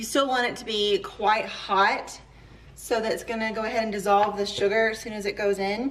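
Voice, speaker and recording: With an American accent, a woman speaks at a moderate pace in a fairly high pitch over noticeable background noise. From Georgia, US South. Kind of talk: cooking tutorial talk to camera.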